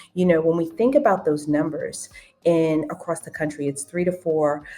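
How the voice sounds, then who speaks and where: Over music in the background, a woman with a very deep, low pitch talks at a moderate pace. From New York City (Queens). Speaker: OB-GYN physician. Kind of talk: podcast interview.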